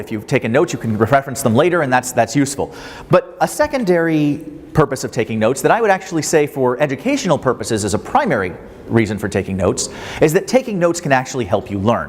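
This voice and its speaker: Amid noticeable background noise, a man with a fairly high pitch talks at a very fast pace with lively intonation. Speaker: professor. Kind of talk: lecture.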